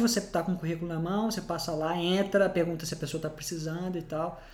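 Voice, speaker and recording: A man talks at a fairly quick pace in a high voice. There is audible room echo. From Brazil. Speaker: podcast host. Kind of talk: casual chat. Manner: halting.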